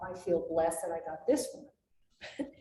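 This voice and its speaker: In a room with audible echo, a woman speaks very slowly at a medium pitch. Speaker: wildlife biologist. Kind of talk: slide presentation talk. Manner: animated.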